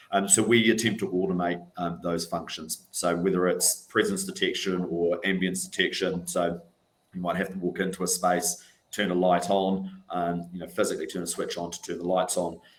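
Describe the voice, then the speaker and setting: A speaker with a New Zealand accent talks at a moderate pace in a flat, monotone delivery. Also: man, very deep, low pitch for a man. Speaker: NHS estates sustainability manager. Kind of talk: panel discussion. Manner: hesitant, many fillers.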